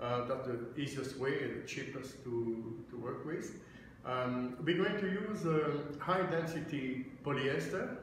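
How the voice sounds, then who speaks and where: Strong room echo and noticeable background noise surround a man's voice. He speaks at a fairly slow pace with ordinary pitch variation. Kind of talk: tutorial. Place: office. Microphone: phone near.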